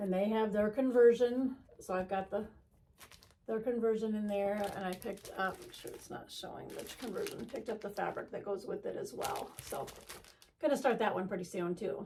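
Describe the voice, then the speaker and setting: Her voice is somewhat breathy, with a dark, mellow tone and a fairly high pitch for a woman. She talks at a moderate pace with ordinary pitch variation and big swings in loudness. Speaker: cross-stitch video creator. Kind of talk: casual haul show-and-tell. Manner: halting, many fillers.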